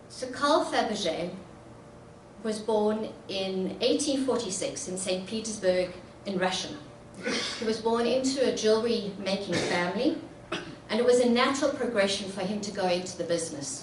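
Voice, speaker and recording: Over noticeable background noise and audible room echo, a woman speaks at a fairly high pitch with ordinary pitch variation and long, frequent pauses. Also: moderate pace. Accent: South African. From South Africa. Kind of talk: public talk.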